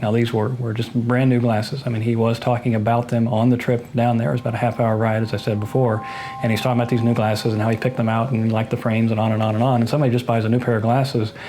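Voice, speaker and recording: Over noticeable background noise, a man with an American accent talks at a very fast pace and medium pitch, his intonation monotone and flat, his loudness very even, with hardly any pauses. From Ohio, USA. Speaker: eyewitness to a reported haunting. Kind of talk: interview answer.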